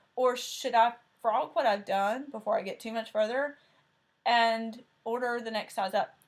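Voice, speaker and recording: Speaking at a moderate pace, a woman with a strong Southern US accent has a high-pitched voice. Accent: thick Southern US. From Tennessee. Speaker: cross-stitch video host. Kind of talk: casual chat.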